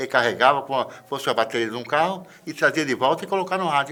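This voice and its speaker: A man talks at a fairly quick pace with a fairly high pitch. His tone is bright and sharp, and his pitch varies in an ordinary way. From rural Brazil. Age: 70s. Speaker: metallurgist and biologist. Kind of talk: interview testimony.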